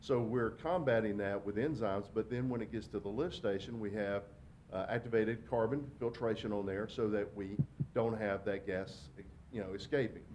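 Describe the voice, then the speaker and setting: The speaker is a man with a fairly low pitch. He keeps a moderate pace and ordinary pitch variation. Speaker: wastewater company representative. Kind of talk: public presentation. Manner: loud.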